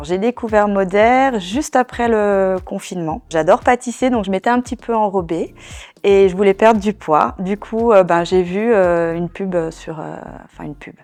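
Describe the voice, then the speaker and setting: Over a quiet background, a woman speaks at a medium pitch and a moderate pace. Her pitch varies in an ordinary way while her loudness swings widely. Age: 40s. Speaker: network marketing seller. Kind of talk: testimony. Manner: hesitant, many fillers.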